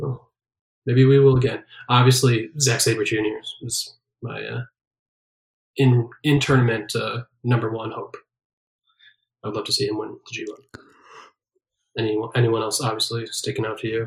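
A somewhat breathy man speaks at a moderate pace with long, frequent pauses. His intonation is monotone and flat, with big swings in loudness. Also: medium pitch for a man. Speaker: podcast co-host. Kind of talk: casual banter, wrestling podcast discussion. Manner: jokey, casual.

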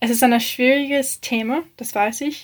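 Speaking very slowly with an English accent, a woman uses a high pitch and fairly even intonation. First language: English (speaking German). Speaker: exchange student, listener. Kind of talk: recorded listener question.

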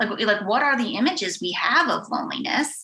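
The voice is raised and projected, with an American accent. Intonation is lively and the pace fairly quick. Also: woman. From Western Pennsylvania. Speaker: university director of belonging. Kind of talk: casual interview chat.

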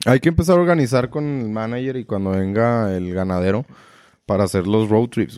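In a very clean recording with a silent background, a man speaks in a dark, mellow tone with lively intonation and big swings in loudness. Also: medium pitch for a man, moderate pace. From northern Mexico, Torreón. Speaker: podcast host. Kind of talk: casual chat.

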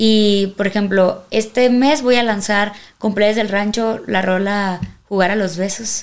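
The speaker talks at a very slow pace with fairly even intonation. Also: woman, medium pitch for a woman. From Mexico, Sinaloa (Culiacán). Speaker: singer. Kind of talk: casual interview chat.

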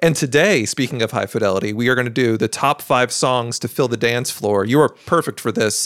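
A plain, everyday voice from a man, medium in pitch, fairly quick, with ordinary pitch variation and hardly any pauses. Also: dry, close sound with no echo. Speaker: podcast host. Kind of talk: casual chat.

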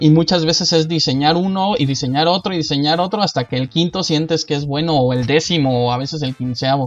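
Music plays in the background as a man speaks at a fairly quick pace with hardly any pauses. His pitch is fairly high, with ordinary variation. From Mexico. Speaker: board game designer. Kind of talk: casual interview.

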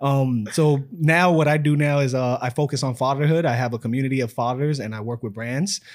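Speaking at a fairly quick pace in a New York accent, a man with a fairly high voice keeps his intonation fairly even in a very clean recording with a silent background. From New York City, the Bronx. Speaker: fatherhood community founder, entrepreneur. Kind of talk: casual chat.

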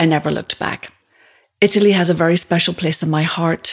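The speaker is a woman. She talks at a fairly low pitch. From Ireland. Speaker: podcast host and entrepreneur. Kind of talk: scripted podcast introduction.

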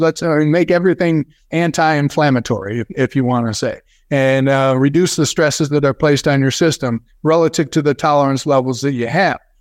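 Speaking at a fairly quick pace, a man has a fairly high pitch, ordinary pitch variation and very even loudness. The sound is dry and close with no echo, on a very clean recording with a silent background. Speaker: musculoskeletal therapist. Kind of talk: expert interview. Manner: halting, many fillers.

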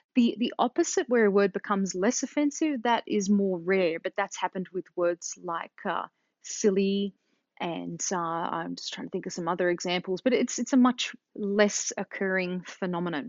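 Her medium pitch showing ordinary variation, a woman with an Australian accent speaks at a moderate pace. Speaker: linguist and author. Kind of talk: interview.

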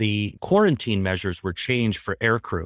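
A man with an American accent talks at a moderate pace in an unremarkable speaking voice, fairly low in pitch with ordinary variation, on a very clean recording with a silent background that sounds dry and close with no echo. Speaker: air freight executive. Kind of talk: interview discussion.

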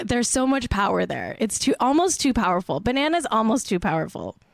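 With a Southern California accent, a woman is speaking. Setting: remote, recorded over the internet.

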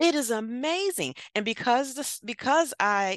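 A warm tone in a dry, close sound with no echo. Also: woman. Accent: American. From Baltimore, US. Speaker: mental health counselor and author. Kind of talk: casual chat. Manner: laughs often, warm.

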